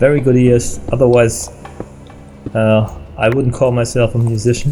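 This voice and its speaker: A man with a German accent speaks at a moderate pace and medium pitch, with very even loudness, fairly even intonation and music in the background. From Germany. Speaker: gaming video creator and musician. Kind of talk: let's play commentary. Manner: halting, many fillers.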